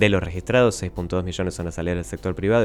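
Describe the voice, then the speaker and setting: This voice has vocal fry and ordinary pitch variation, and it moves at a very fast pace. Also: man. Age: 20s. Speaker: economics columnist. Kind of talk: radio interview on economics.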